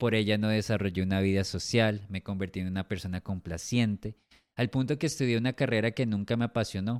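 A man talks at a fairly quick pace in a normal speaking voice, his pitch fairly low with ordinary variation. The sound is dry and close with no echo, and the recording is very clean over a silent background. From Colombia. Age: 40s. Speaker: podcast host. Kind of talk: personal testimony monologue.

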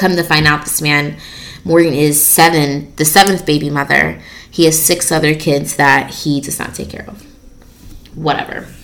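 Noticeable background noise sits behind a woman with a very deep, low pitch. Her moderate-paced delivery has monotone, flat intonation. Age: 20s. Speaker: podcast host. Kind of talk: casual solo talk.

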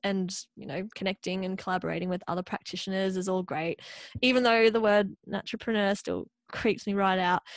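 This woman talks at a fairly quick pace with fairly even intonation and a medium pitch. The sound is dry and close, with no echo. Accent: Australian. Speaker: podcast host, dietitian and yoga teacher. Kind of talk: casual interview chat; scripted podcast intro and outro. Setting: remote call.

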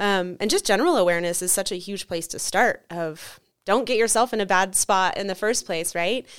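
In a very clean recording with a silent background, a woman with an unremarkable speaking voice talks at a fairly quick pace, with medium pitch and ordinary pitch variation. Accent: American. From Nevada, US (Carson City). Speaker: martial arts instructor and author. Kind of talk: interview. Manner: frequent filler ums.

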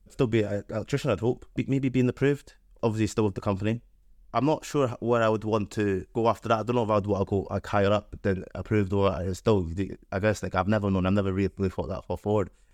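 A man with a Scottish accent, fairly low in pitch and very fast, against a quiet background. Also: ordinary pitch variation. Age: 20s. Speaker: electrical apprentice. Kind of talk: interview.

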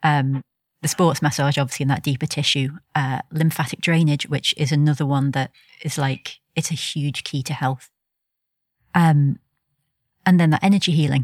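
A woman's very deep, low voice at a moderate pace, fairly even in intonation, with long, frequent pauses and a dry, close sound with no echo. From England, seaside village. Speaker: energy healer and sports massage therapist. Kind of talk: casual interview. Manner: calm.

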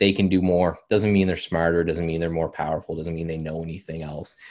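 In a very clean recording with a silent background, a man talks with a very deep, low pitch and a monotone, flat intonation. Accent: Canadian. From Canada. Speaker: algorithmic trader and trading software consultant. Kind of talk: interview.

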